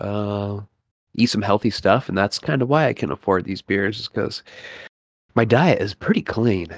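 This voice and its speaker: An unremarkable speaking voice from a man, at a moderate pace with ordinary pitch variation and a dry, close sound with no echo. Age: 30s. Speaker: healthcare worker. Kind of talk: casual chat.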